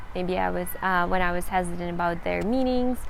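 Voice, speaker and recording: A woman speaks with a Ukrainian accent. Room echo is audible. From Central Ukraine. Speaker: language-learning vlogger. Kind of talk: tutorial.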